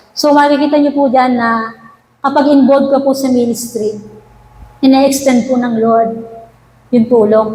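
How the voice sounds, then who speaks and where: Against noticeable background noise and audible room echo, a woman with a high pitch and fairly even intonation speaks at a moderate pace with long, frequent pauses. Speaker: church worship leader. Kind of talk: testimony. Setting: church prayer meeting. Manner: halting; formal.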